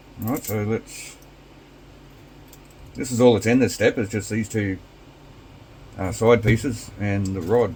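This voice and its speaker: A man with a fairly low pitch speaks at a fairly slow pace, with long, frequent pauses. His voice is somewhat breathy and his intonation fairly even. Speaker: RC hobby youtuber. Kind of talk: tutorial. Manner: casual, with many fillers.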